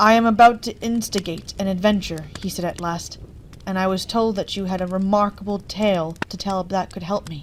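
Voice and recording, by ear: A natural voice giving a read-aloud passage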